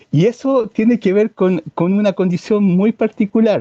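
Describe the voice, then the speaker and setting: In a Chilean accent, a man speaks at a fairly slow pace in a high voice with a dark, mellow tone and ordinary pitch variation. The sound is dry and close with no echo, against a quiet background. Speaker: environmentalist. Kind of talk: interview conversation. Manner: hesitant with false starts.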